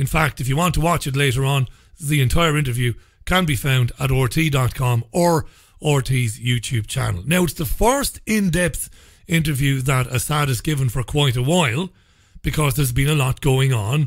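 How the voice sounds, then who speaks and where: A man speaks at a moderate pace with a somewhat breathy voice. The background is quiet. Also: ordinary pitch variation. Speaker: radio show host. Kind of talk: news commentary monologue. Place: studio.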